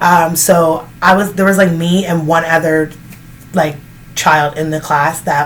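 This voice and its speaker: A woman at a moderate pace with a fairly low pitch and fairly even intonation, over noticeable background noise. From Canada. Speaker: vlogger. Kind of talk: casual Q&A chat. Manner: casual, filler-heavy.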